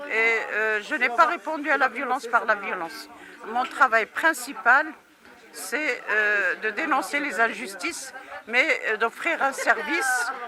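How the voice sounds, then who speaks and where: Crowd noise fills the background as a woman speaks very slowly. Her pitch is high, with ordinary pitch variation. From Morocco. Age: 70s. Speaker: activist. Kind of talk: interview. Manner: hesitant, many filler sounds.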